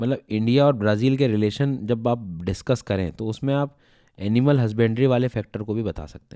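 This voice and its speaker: On a very clean recording with a silent background, a man of medium pitch speaks at a moderate pace in a dark, mellow tone with big swings in loudness. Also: ordinary pitch variation. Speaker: exam prep teacher. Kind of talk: lecture. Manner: conversational, hesitant fillers.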